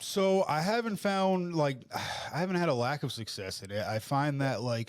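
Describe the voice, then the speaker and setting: A fairly high-pitched man with an American accent, moderate pace and very wide pitch swings. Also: very clean recording, silent background. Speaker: vlogger and former correction officer. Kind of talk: interview. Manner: casual, filler-heavy.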